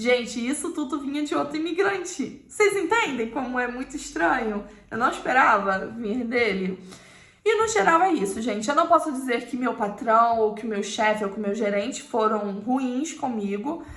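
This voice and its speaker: At a moderate pace, a woman speaks in a high pitch with lively intonation, and room echo is audible. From Brazil. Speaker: YouTuber. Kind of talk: personal storytelling to camera.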